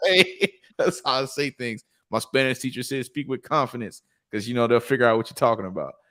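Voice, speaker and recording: A man at a medium pitch with a strong Southern US accent, bright, sharp tone, ordinary pitch variation and fairly quick pace, in a dry, close sound with no echo. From US South, Lithonia, Georgia. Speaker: programmer, podcast host. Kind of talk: casual chat.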